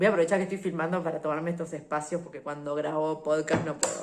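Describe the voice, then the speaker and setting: With noticeable background noise behind her, a woman speaks in an animated tone and a very deep, low pitch at a very fast pace with hardly any pauses. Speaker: podcast host and travel vlogger. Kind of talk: casual solo podcast monologue. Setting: home recording on video.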